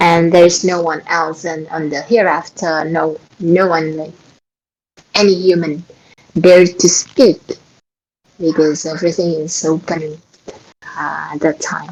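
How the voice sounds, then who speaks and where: A woman's voice with an Indonesian accent, monotone, flat intonation, big swings in loudness and long, frequent pauses. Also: fairly low pitch for a woman, fairly slow pace. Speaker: Quran study host. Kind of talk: religious study talk. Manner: halting.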